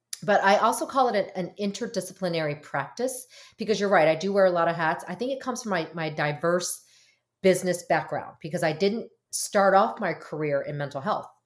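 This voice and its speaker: A woman with an American accent speaks at a fairly quick pace in a normal speaking voice, medium-pitched with ordinary pitch variation, on a very clean recording with a silent background. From US (Korean American, arrived as infant). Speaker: marriage and family therapist. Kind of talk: casual interview.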